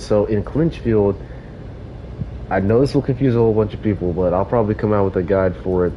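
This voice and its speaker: Noticeable background noise sits behind this speaker. He is a man with a fairly low pitch. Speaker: gaming livestreamer. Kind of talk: live gameplay commentary. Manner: casual, halting with fillers.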